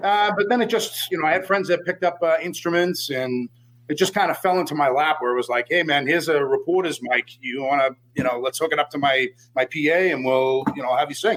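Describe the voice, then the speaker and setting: Speech comes at a very fast pace with ordinary pitch variation. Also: man, fairly high pitch for a man. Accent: strong Boston. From Boston, US. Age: 40s. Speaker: death metal vocalist. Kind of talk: casual interview.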